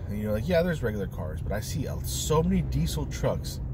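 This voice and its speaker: Over noticeable background noise, a man talks at a fairly quick pace with a fairly low pitch and a dry sound with no echo. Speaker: commuter vlogger. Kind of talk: casual vlog chat. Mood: annoyed, ranting. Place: car. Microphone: phone near.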